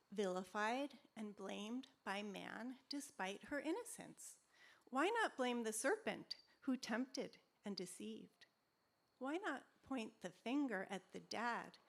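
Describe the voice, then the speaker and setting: The voice moves at a fairly slow pace, with vocal fry and ordinary pitch variation. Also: woman, fairly high pitch for a woman. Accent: American. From New York City and Amherst, Massachusetts. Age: 60s. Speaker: poet. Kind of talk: poetry reading. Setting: outdoors with live audience.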